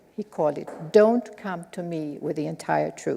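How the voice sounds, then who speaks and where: In a Swedish accent, a woman speaks at a fairly slow pace. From Sweden. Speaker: lecturer. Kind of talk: lecture.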